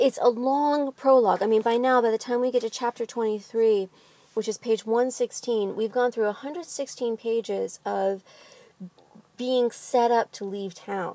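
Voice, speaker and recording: A woman's fairly high voice carries a dark, mellow tone and fairly even intonation at a moderate pace, with a dry, close sound with no echo. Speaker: literature vlogger. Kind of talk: book discussion monologue. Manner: casual with frequent fillers.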